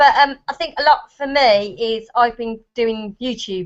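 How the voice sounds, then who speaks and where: A woman speaks at a fairly slow pace in a Birmingham accent. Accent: Brummie. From Birmingham, England. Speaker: parenting blogger. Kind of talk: casual chat. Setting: video call.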